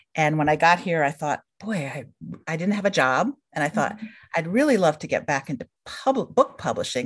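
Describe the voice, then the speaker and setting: Speaking fairly quickly with lively intonation, a woman with an American accent has a fairly low pitch and an unremarkable speaking voice. The background is quiet. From central New York state. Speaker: book publisher and editor. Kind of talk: casual interview.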